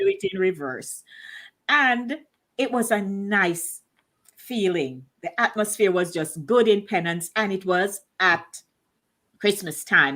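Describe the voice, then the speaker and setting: A woman with a bright, sharp tone and lively intonation speaks at a very slow pace on a very clean recording with a silent background. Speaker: radio and talk show host. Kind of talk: casual live talk show conversation.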